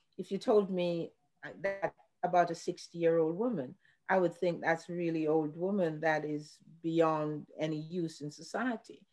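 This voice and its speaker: With music in the background, a woman speaks slowly-ish at a fairly low pitch with ordinary pitch variation. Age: 60s. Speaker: cannabis and psychedelics industry panelist. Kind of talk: panel discussion. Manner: halting.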